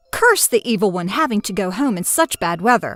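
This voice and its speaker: Putting on a growling character voice at medium pitch, a woman speaks with lively intonation at a fairly quick pace, in a dry, close sound with no echo and faint music in the background. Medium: read story.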